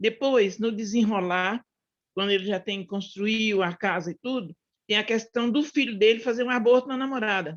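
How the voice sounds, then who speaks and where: A woman speaks at a moderate pace. Her voice is fairly high in pitch with ordinary pitch variation. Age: 60s. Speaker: book club participant. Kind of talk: casual discussion. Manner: halting.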